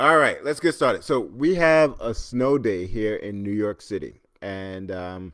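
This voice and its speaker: On a very clean recording with a silent background, a man speaks at medium pitch with very wide pitch swings. His pace is fairly slow, with hardly any pauses. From Trinidad. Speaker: podcast host. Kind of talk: casual live-stream chat. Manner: halting, with many fillers and repeated words.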